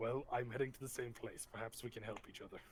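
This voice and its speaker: A man puts on a raspy character voice at medium pitch and talks at a very fast pace. Background noise is clearly audible. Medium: actual play. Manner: formal, deadpan.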